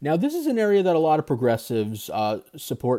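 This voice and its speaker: A man's voice in a very clean recording with a silent background, the sound dry and close with no echo. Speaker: political podcast host. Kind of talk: solo podcast commentary. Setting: video recording. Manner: halting, many fillers.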